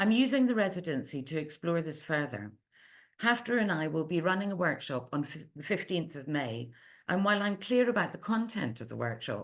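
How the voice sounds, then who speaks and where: A woman speaks with an Edinburgh accent, her pitch swinging very widely and her loudness shifting in big swings. The background is quiet. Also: fairly low pitch for a woman, fairly quick pace. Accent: Scottish (Edinburgh). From Scotland, Edinburgh. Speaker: literary translator. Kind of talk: research seminar talk, read from prepared text. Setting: online seminar. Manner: measured, self-correcting at times.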